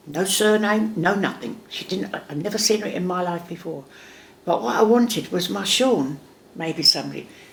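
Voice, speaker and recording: A woman speaks with a fairly low pitch and lively intonation. Noticeable background noise runs underneath. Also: moderate pace. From England. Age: 70s. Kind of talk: interview answer. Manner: sassy, lively storytelling.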